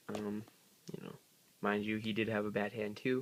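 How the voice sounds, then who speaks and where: A quiet man's voice, fairly low in pitch, at a moderate pace. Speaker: card game youtuber. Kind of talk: deck profile tutorial. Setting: at home. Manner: hesitant, many fillers.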